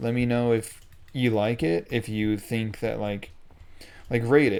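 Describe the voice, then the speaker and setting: A man speaks at a medium pitch with a dark, mellow tone and fairly even intonation. The recording is very clean and the background silent. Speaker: gaming video creator. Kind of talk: gameplay commentary. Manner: monotone; hesitant, many fillers.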